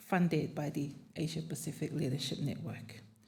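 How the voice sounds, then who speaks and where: A fairly slow delivery with audible room echo. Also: woman. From Tokelau and Samoa. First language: not English (English is third language). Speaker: panelist, Pacific advocate. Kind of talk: conference panel talk.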